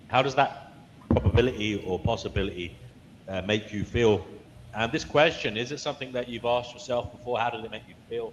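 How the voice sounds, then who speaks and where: Noticeable background noise runs under the recording. A man speaks at a fairly quick pace with ordinary pitch variation. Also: medium pitch for a man. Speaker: live show host. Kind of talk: live show hosting.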